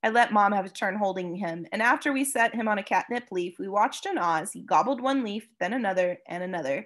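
The speaker uses an unforced reading voice. The delivery stays unforced throughout.

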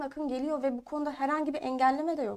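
A high-pitched woman speaks with monotone, flat intonation. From Eskişehir, Turkey; Turkey. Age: 20s. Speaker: parliamentary candidate and university student; candidate. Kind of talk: political interview. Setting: studio. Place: studio. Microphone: lapel.

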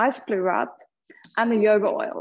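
Against a quiet background, a woman with an Australian accent talks in a calm, soothing tone. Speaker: yoga teacher. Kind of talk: guided yoga class. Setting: online live class. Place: studio.

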